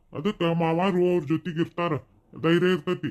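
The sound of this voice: A man's cartoonish character voice, high-pitched, at a moderate pace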